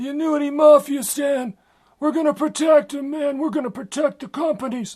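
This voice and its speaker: A man does a put-on character voice. His pitch is extremely high. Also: moderate pace. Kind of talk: street-wise, mafia-style. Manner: tough, gruff, protective.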